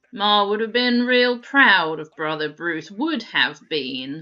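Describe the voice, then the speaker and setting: Using a put-on character voice, a woman speaks at a fairly slow pace in a medium pitch with very wide pitch swings. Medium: solo performance. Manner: folksy, repetitive phrasing.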